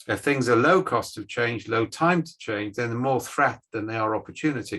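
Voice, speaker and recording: Speaking in a British accent, a man keeps a moderate pace at medium pitch, with a bright, sharp tone and ordinary pitch variation. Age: 60s. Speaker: management scientist. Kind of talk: guest lecture on video call.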